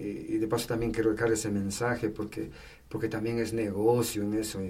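A man's fairly low, dark and mellow voice, somewhat breathy, with fairly even intonation at a moderate pace and audible room echo. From Ecuador, Tungurahua (Patate). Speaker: firefighter and Red Cross volunteer. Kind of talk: casual interview, life story.

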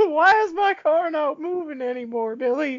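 The voice is a put-on character voice pitched high. It moves at a moderate pace. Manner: confused, complaining.

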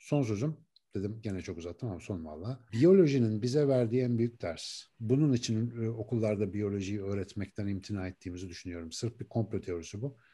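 In a quiet background, a man of medium pitch speaks with a dark, mellow tone and lively intonation. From Turkey, Ankara. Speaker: neuroscientist and author. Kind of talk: interview conversation.

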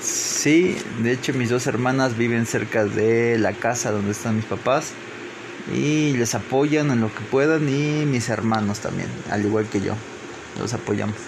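Fairly slow speech in a Veracruz accent with ordinary pitch variation, noticeable background noise and audible room echo. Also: man, medium pitch for a man. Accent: Mexican Spanish, Veracruz. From Mexico, Papantla, Veracruz. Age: 20s. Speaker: engineering graduate. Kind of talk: interview. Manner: halting.

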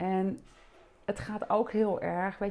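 A woman speaks in a plain, everyday voice. Her pitch is medium and her pace is fairly slow. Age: 50s. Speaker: body-oriented psychotherapist and trainer. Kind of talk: interview conversation.

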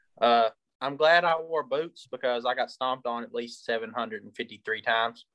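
A man with an ordinary speaking voice talks at a fairly quick pace and a medium pitch, with ordinary pitch variation and big swings in loudness. The sound is dry and close with no echo. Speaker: sports podcast co-host. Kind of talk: casual sports talk.

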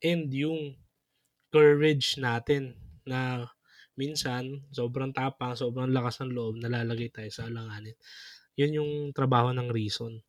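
A man speaks in a plain, everyday voice at a medium pitch. His pace is fairly slow and his intonation fairly even. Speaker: podcast co-host, religious brother or priest. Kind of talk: casual chat.

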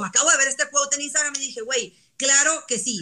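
A woman speaks at a very fast pace in a high pitch, her voice raised and projected. Her tone is animated, with noticeable background noise behind her. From northern Mexico. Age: young. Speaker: social media influencer. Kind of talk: casual chat.

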